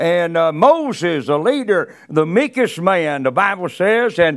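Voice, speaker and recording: A man talks in a Southern US accent at a fairly slow pace. His pitch swings very widely. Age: 70s. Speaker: preacher. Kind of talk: sermon. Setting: church. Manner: halting.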